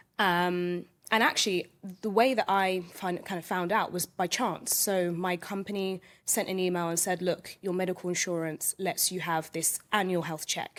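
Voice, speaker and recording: A woman speaks in a London accent. Her intonation stays fairly even. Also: medium pitch for a woman, moderate pace, very clean recording, silent background. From London, England. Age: 20s. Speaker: podcast guest. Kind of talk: casual interview chat.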